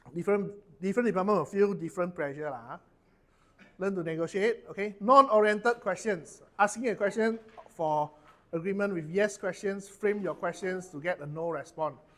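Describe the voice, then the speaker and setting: A man speaks with a Malaysian accent. His pitch is high. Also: ordinary pitch variation, moderate pace. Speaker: corporate trainer. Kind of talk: workshop training session. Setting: training room with audience.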